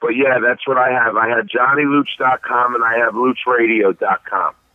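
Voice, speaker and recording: With a Philadelphia accent, this man talks at a moderate pace in a medium pitch and fairly even intonation. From South Philadelphia. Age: 40s. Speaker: DJ. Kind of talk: interview. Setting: phone call.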